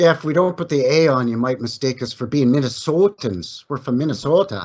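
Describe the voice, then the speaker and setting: A plain, everyday voice moves at a fairly quick pace. Its intonation is lively. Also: man, fairly high pitch for a man. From Canada. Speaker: history researcher, channel owner of another channel. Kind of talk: casual chat.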